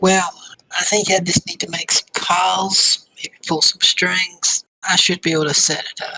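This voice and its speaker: A put-on character voice, raspy, at middle pitch and a moderate pace. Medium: actual play. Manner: businesslike, calculating.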